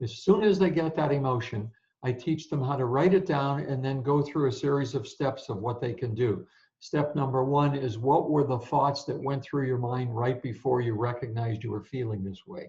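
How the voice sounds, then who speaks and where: A man speaks in a dark, mellow, somewhat breathy tone with ordinary pitch variation. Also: medium pitch for a man. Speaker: sport psychologist and speaker. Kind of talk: interview. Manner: fast.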